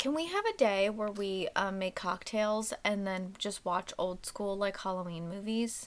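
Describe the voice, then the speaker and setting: A plain, everyday voice at a fairly slow pace, with hardly any pauses and ordinary pitch variation. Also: woman, medium pitch for a woman. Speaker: podcast co-host. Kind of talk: casual chat.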